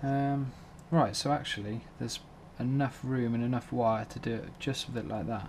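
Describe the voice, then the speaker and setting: Speaking with a British accent, the man keeps his voice at a medium pitch. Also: moderate pace. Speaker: drone hobbyist. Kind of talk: tutorial. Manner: monotone; hesitant, filler-heavy.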